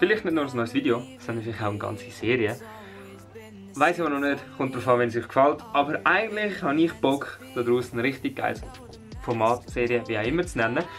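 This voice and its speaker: A man in a Swiss accent, medium-pitched, with lively intonation and a fairly quick pace, music in the background. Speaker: vlogger. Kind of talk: casual talk to camera.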